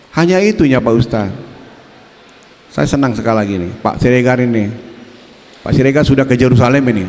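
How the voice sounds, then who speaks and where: The speaker talks at a very fast pace with an animated tone and lively intonation, broken by long, frequent pauses, with audible room echo and noticeable background noise. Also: man, medium pitch for a man. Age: 70s. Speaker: politician. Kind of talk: campaign speech.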